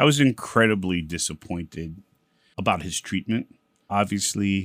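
The recording of this man is very clean with a silent background, and the sound is dry and close with no echo. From Brooklyn, New York (East New York). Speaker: district attorney. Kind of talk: interview.

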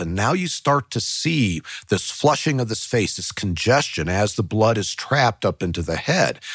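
The pace is moderate, and the intonation is lively. There is no echo, just a dry, close sound. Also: man. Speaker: retired cold case investigator, co-host. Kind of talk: casual conversational analysis.

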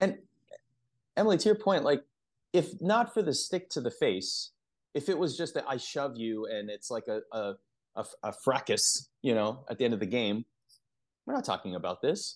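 A man with a fairly high pitch speaks at a moderate pace, taking long, frequent pauses. His pitch swings very widely, with vocal fry, against a quiet background. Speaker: podcast host. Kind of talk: casual sports podcast chat.

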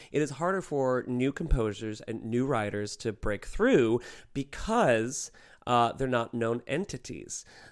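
At a fairly slow pace, a man with a plain, everyday voice speaks at medium pitch with ordinary pitch variation on a very clean recording with a silent background. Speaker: drag performer. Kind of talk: casual chat.

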